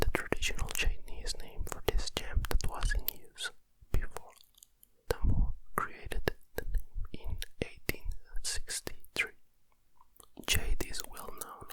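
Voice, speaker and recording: A very slow whisper comes through noticeable background noise. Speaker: ASMR content creator. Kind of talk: ASMR whisper reading of encyclopedia articles. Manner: whispered, close-mic.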